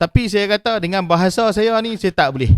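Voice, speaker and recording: Dry, close sound with no echo, carrying a man's fairly quick pace. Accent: strong Kedah. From Malaysia, Kedah. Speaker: podcast host, printing business owner. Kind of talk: casual chat.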